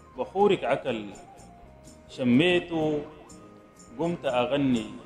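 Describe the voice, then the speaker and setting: Lively intonation at a very slow pace, with music in the background. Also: man, fairly high pitch for a man. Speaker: poet. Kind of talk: poetry reading.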